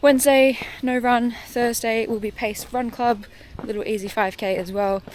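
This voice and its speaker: Noticeable background noise behind a woman speaking with ordinary pitch variation. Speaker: running vlogger. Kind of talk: vlog monologue. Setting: outdoors on a walk. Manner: fast.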